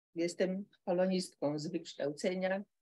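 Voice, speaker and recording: Speech at a very slow pace, with ordinary pitch variation throughout. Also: woman. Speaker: audience member. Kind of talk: academic discussion.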